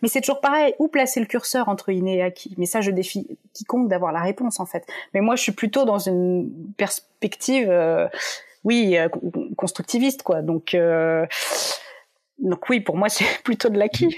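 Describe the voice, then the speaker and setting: The woman's pitch sits in the medium range, and her intonation is lively. She has an ordinary speaking voice and talks at a fairly slow pace. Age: 30s. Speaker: psychology researcher and author. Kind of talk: interview.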